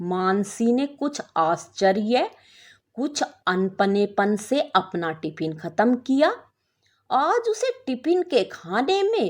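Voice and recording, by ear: At a slow pace, a woman with a fairly high pitch talks with big pitch swings, in a very clean recording with a silent background.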